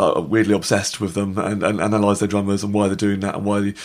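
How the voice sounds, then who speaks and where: Talking at a very fast pace, a man with a British accent has a fairly low pitch. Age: 30s. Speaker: drummer and comedian. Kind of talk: casual interview chat. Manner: very fast talker; excited, animated.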